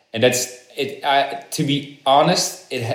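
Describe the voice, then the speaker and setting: A man with a Dutch accent, fairly high-pitched and fairly slow, with audible room echo. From Netherlands. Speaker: actor and crypto entrepreneur. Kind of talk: interview. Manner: halting.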